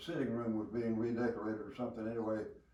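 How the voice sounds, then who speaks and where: With noticeable background noise behind him, a man speaks at a medium pitch in a Southern US accent. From Alabama. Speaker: war veteran. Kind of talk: interview answer.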